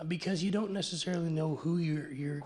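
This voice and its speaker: Noticeable background noise and audible room echo fill the recording. A man speaks at a very fast pace. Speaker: conference presenter on technology transfer. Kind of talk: conference presentation. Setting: panel session with audience and interpreters. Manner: halting, many repetitions.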